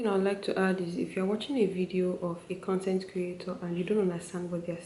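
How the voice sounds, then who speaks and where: Against noticeable background noise, a woman with a Nigerian accent speaks at a medium pitch. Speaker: medical student. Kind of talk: casual talk to camera.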